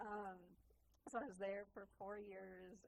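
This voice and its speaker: A woman speaks very slowly in a Minnesota accent. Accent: Upper Midwest US (Minnesota). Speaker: music teacher, tour guide, artist. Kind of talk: casual interview chat.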